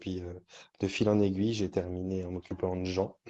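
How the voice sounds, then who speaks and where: Over a quiet background, a man with a very deep, low pitch and a dark, mellow tone speaks fairly quickly in a monotone, flat intonation. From France, Auvergne (Volvic). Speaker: hypnotherapist and trainer. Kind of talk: interview. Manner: hesitant, many fillers.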